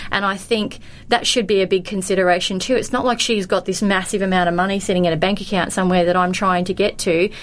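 A woman talks at a very fast pace with hardly any pauses. Her intonation is monotone and flat, and her loudness stays very even. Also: medium pitch for a woman. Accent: Australian. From Australia. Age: 40s. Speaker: daughter of a missing person. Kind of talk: casual chat.

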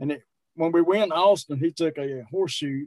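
A plain, everyday voice moves at a fairly quick pace. Its pitch rises and falls in an ordinary way. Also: man. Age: 60s. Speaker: strongman and powerlifter. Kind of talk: casual interview.

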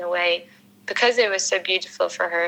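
Over noticeable background noise, a woman talks at a fairly quick pace and a medium pitch. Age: 30s. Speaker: small business owner. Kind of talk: casual chat.

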